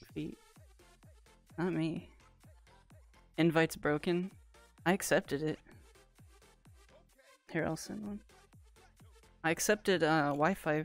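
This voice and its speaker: A woman talks at a fairly slow pace in a very deep, low pitch with a playful tone and ordinary pitch variation, the sound dry with no echo and faint music in the background. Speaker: streamer. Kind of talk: casual livestream chat. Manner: playful, excitable.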